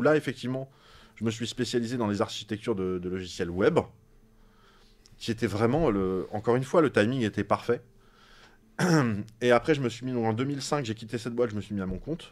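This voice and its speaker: In a very clean recording with a silent background, a man talks fairly quickly in a medium pitch with an animated tone and ordinary pitch variation. He takes long, frequent pauses. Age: 40s. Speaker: science YouTuber. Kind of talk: casual interview chat.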